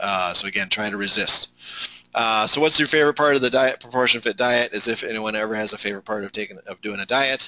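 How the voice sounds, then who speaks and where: A fairly low-pitched man speaks fairly quickly with a bright, sharp tone and fairly even intonation, the sound dry and close with no echo. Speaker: diet program leader. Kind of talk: presentation. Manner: fast.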